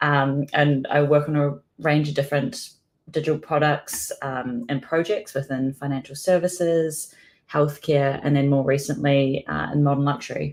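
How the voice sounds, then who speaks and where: At a moderate pace, a woman speaks in a very deep, low pitch. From New Zealand. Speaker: product designer. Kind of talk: conference talk.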